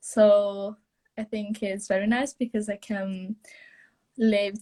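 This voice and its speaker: A woman speaks very slowly in a somewhat breathy voice. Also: dry, close sound with no echo. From Italy. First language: Italian. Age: young. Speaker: au pair. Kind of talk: live interview. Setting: Instagram live video call. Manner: halting.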